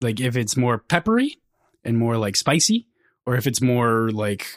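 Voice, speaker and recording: In a very clean recording with a silent background, a man with a strong Minnesota accent speaks at a medium pitch and moderate pace. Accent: fairly strong Minnesota. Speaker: book podcast co-host. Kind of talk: casual chat.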